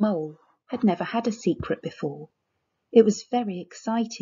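The pitch varies in an ordinary way during plain reading aloud. Nothing much stirs in the background.

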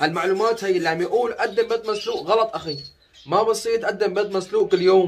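A high-pitched man at a fairly quick pace, with ordinary pitch variation and light background noise. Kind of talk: casual vlog chat. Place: home room. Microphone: phone near.

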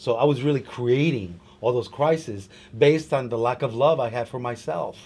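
There is light background noise as a man speaks at a moderate pace in a somewhat breathy voice with ordinary pitch variation. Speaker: publicist and author. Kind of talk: interview. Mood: reflective, candid. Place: home room.

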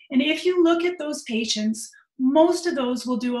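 A woman with a Canadian accent is heard against a quiet background with audible room echo. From Canada. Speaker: orthopedic surgeon; presenter. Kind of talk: lecture. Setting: video call. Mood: friendly, lightly humorous. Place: home room. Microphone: webcam.

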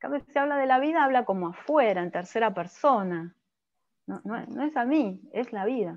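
In an unremarkable speaking voice, a woman talks at a moderate pace and a fairly high pitch. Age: 50s. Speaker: physician and coach; coach presenter. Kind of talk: lecture. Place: home room. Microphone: webcam.

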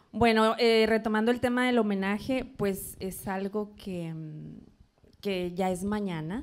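At a very slow pace, a woman speaks with a fairly high pitch and ordinary pitch variation. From Monterrey, Nuevo León, Mexico. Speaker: event producer and businesswoman; interview guest. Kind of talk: interview. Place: studio. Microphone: handheld.

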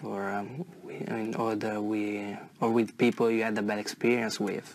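Over noticeable background noise, a man with an Italian accent speaks at a fairly low pitch in a monotone, flat intonation. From northern Italy, near Como. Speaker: IELTS test candidate. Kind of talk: exam interview. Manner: halting, many fillers and repetitions.

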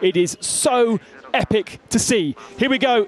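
There is noticeable background noise as a man speaks in an excited tone. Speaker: motorsport commentator. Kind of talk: live race commentary. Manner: excited, fast.

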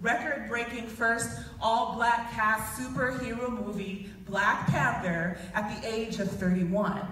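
At a fairly slow pace and a fairly high pitch, a woman speaks with ordinary pitch variation, with clear background noise and strong room echo.

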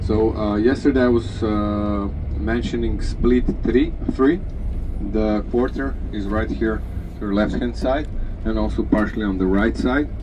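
The delivery is fairly slow, and noticeable background noise is present throughout. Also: man. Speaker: tour guide. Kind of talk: tour guide commentary. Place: bus.

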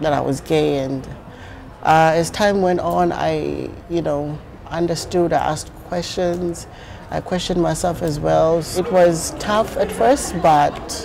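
At a very slow pace, a woman with a fairly low pitch and ordinary pitch variation speaks over noticeable background noise. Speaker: interviewee. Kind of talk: interview answer. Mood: earnest, reflective. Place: hall. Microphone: lapel.

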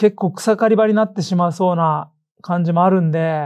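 Over a quiet background, a man talks at a moderate pace in a high pitch. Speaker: football podcast host. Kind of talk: casual chat. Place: studio.

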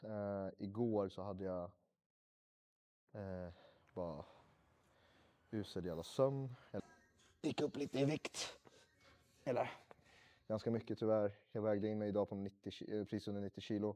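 At a fairly slow pace, a man talks with long, frequent pauses and a dark, mellow tone. His pitch is fairly low with ordinary variation. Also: quiet background. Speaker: fitness vlogger. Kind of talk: casual vlog chat. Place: gym. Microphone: lapel.

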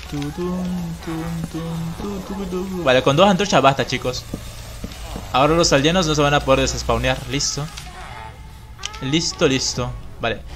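Music plays behind the speaker. The talking keeps a moderate pace. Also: man. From Bolivia. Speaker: gaming streamer. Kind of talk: live gameplay stream commentary.

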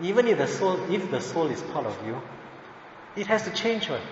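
There is noticeable background noise and audible room echo. Over it, a man speaks with lively intonation. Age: 40s. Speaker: Buddhist teacher. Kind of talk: lecture. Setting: temple.

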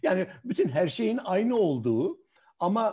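Against a quiet background, a man with a dark, mellow tone speaks at a very slow pace, his pitch swinging very widely. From Hatay, southern Turkey. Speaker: retired journalist and photographer; retired journalist. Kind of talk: online talk and interview. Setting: video call. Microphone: video call.

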